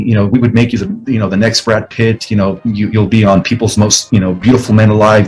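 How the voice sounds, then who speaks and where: A man speaks at a very fast pace in a fairly low pitch with fairly even intonation. Music plays in the background. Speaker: spiritual author and lecturer. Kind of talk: interview. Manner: halting, many fillers and repeats.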